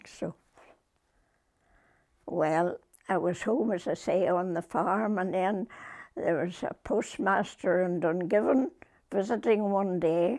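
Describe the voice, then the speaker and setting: A woman with a Northern Irish accent speaks at a very slow pace, her medium pitch moving with ordinary variation between long, frequent pauses. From Northern Ireland, Limavady area. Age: 80s+. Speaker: retired post office worker. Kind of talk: interview answer.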